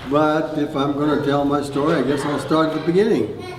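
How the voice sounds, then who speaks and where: A man's voice comes with audible echo from the room. Background noise is noticeable too. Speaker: retired farmer telling life story. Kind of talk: oral history storytelling. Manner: halting, many fillers.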